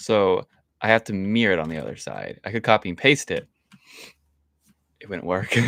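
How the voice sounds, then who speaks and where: Recorded dry and close with no echo, the speaker shows vocal fry and lively intonation at a moderate pace. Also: man. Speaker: streamer. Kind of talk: live gameplay commentary. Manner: stutters, repeats words; frequent silences, quiet stretches.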